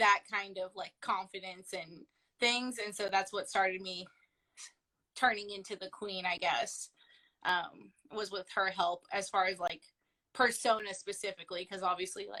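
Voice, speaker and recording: Loud and bright, a woman's sharp-toned voice sits at medium pitch with fairly even intonation and a moderate pace. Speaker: professional wrestler. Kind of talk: casual interview. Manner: loud and talkative.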